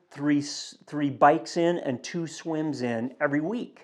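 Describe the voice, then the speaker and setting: Against a quiet background, a man speaks with an ordinary speaking voice. His pitch is fairly high, with ordinary pitch variation. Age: 60s. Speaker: fitness vlogger training for a triathlon. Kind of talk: casual vlog update. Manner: relaxed, conversational with fillers.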